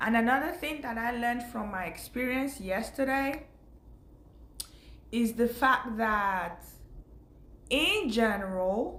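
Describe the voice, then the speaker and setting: A woman with a fairly high pitch speaks at a fairly slow pace. Her intonation is lively, and audible room echo surrounds her. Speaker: faith vlogger. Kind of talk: casual spiritual talk to camera.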